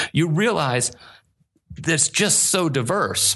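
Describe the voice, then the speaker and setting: Very wide pitch swings and vocal fry mark a man's speech in an American accent. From Pittsburgh area, US. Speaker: paranormal stage performer. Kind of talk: interview conversation.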